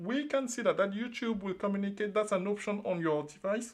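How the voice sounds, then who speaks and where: A man with a French accent, high-pitched, at a moderate pace. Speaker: trading channel host. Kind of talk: live stream trading broadcast. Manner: animated, repetitive.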